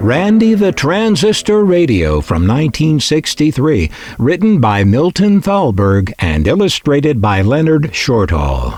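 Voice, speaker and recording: A man speaks at a fairly slow pace with hardly any pauses, his pitch fairly high and swinging very widely. His loudness stays very even, and there is noticeable background noise. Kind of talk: children's book reading.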